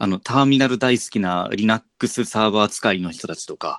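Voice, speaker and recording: A man with an unremarkable speaking voice talks at a moderate pace and fairly low pitch with ordinary pitch variation, on a very clean recording with a silent background and a dry, close sound with no echo. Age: 30s. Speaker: podcast host, teacher. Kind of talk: casual chat.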